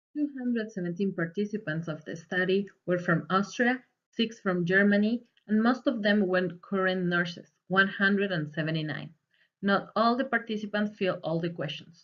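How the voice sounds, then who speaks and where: With a Spanish accent, a woman speaks at medium pitch and a moderate pace with ordinary pitch variation. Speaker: student. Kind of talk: presentation. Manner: read from script.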